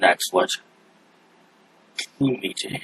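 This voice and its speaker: A man in a put-on character voice. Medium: actual play. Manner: defiant, zealous.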